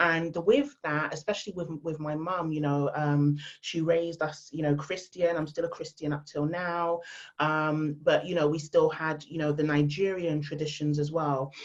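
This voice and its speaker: A voice with a London accent speaks at a moderate pace in a monotone, flat intonation. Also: woman, very deep, low pitch for a woman. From England, London. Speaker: female empowerment speaker. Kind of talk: podcast interview. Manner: loud.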